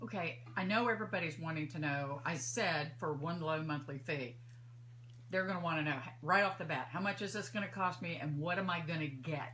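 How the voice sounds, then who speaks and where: The talking moves at a fairly quick pace, with audible room echo. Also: woman, very deep, low pitch for a woman, lively intonation. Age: 60s. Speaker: radio host. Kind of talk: radio interview. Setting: studio.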